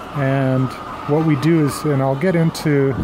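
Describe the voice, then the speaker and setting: A man's fairly high voice, fairly even in intonation, over noticeable background noise. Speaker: egg farmer. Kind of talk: video tour. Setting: inside a barn with hens. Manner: whispering; casual, hesitant.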